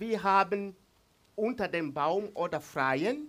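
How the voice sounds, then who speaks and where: The speaker has an East African accent and lively intonation. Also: man. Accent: Swahili-accented German. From Tanzania. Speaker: pastor. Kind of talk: sermon. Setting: church. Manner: halting.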